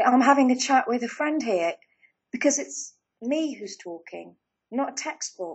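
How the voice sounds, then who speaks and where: A woman with an English accent, high pitch, lively intonation and a moderate pace. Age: 40s. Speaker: life coach. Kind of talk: casual chat.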